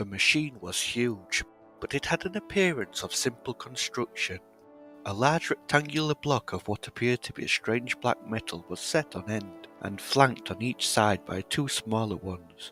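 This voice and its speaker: A man with a British accent, medium pitch and lively intonation at a moderate pace, dry and close with no echo, music in the background. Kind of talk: audiobook reading.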